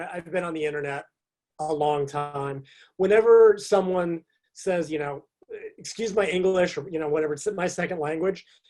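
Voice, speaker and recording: With an American accent, a man talks fairly quickly in a high pitch and a dark, mellow tone. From US. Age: 50s. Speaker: fitness and nutrition writer. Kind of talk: podcast interview. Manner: halting, many fillers.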